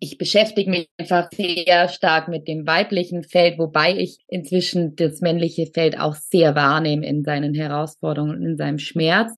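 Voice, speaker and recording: A woman's unremarkable speaking voice, fairly low in pitch, with fairly even intonation, a moderate pace and hardly any pauses. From Allgäu, southern Germany. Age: 30s. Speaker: spiritual coach for women. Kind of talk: casual interview chat.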